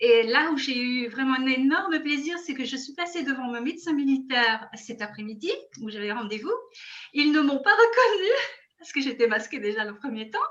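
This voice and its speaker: With lively intonation, a woman talks in a high voice. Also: moderate pace. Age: 60s. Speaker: product testimonial guest. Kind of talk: testimony. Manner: animated.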